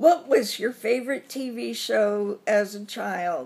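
A woman with an American accent, very slow in pace, with lively intonation. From US South. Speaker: vlogger. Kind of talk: casual vlog tag answering questions. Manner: chatty with many fillers. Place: home room. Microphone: phone near.

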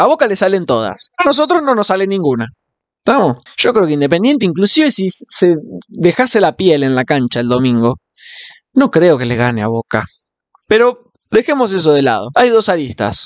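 In a Rioplatense accent, a man speaks at a high pitch with very wide pitch swings and an animated tone. His moderate pace comes through dry, with no echo, over a quiet background. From Argentina. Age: 20s. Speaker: football fan vlogger. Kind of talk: casual monologue. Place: home room. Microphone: studio mic.

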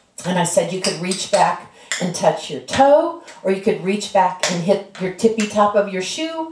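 Audible room echo and light background noise surround the voice. A woman speaks at a fairly slow pace. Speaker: dance instructor. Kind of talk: tutorial. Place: home room. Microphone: camera far.

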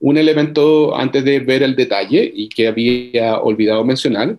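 Over a quiet background, a man at a medium pitch speaks at a fairly slow pace with ordinary pitch variation. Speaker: workshop presenter on journal indexing; presenter. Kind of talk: online workshop presentation. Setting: video call. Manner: halting, many fillers and repeats. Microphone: video call.

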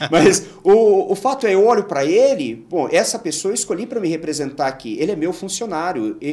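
A man speaks with a São Paulo accent at a high pitch, using very wide pitch swings. His pace is fairly quick, with hardly any pauses. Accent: Brazilian Portuguese, São Paulo. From Brazil, Guarulhos (São Paulo area); São Paulo state, Brazil. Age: 40s. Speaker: engineer and local council candidate; council candidate. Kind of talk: interview. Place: studio. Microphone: studio mic.

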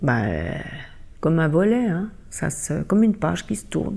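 A woman's voice carries a dark, mellow tone and vocal fry. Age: 60s. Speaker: interviewee. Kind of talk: interview.

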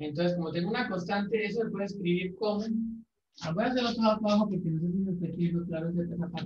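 Light background noise and audible room echo accompany a man talking at a very fast pace. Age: 20s. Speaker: math teacher. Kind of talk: casual chat; lecture. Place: classroom. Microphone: camera far.

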